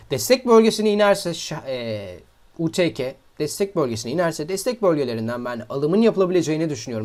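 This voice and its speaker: Very wide pitch swings from a man, fairly high in pitch and fairly quick in tempo. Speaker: crypto trading YouTuber. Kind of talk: market analysis tutorial.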